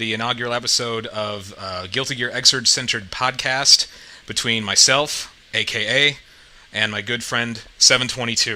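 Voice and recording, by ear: A man speaks at a medium pitch with a bright, sharp tone. His pace is fairly slow, and his pitch varies in an ordinary way.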